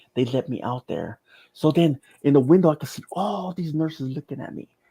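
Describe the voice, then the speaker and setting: A man speaks with a dark, mellow tone that is somewhat breathy. The recording is very clean with a silent background and a dry, close sound with no echo. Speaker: near-death experience survivor. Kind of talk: testimony. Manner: halting.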